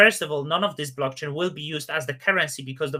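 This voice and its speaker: Here a man speaks at a fairly high pitch with a bright, sharp tone. His intonation is fairly even. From Poland. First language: Polish. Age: 30s. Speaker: crypto YouTuber. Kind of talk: live stream Q&A. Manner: casual, hesitant with fillers.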